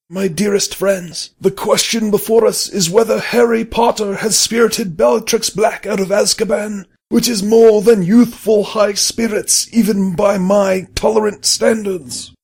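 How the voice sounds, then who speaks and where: A man puts on a character voice pitched high. He delivers it at a moderate pace. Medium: read story. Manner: measured, solemn.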